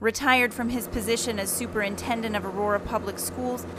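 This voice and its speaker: A woman speaks over noticeable background noise. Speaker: news reporter and anchor. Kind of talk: TV news package narration.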